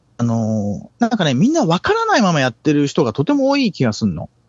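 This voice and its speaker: Moving at a moderate pace, the voice shows very wide pitch swings. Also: man. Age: 50s. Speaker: bass player. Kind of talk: interview. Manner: halting.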